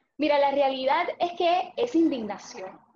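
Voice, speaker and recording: Ordinary pitch variation runs through the speech. The speaker is a woman. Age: 20s. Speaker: young political candidate. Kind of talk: interview.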